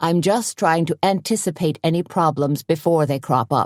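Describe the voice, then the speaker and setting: Someone uses a put-on character voice at a middle pitch. The delivery moves at a moderate pace. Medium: read story. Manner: earnest.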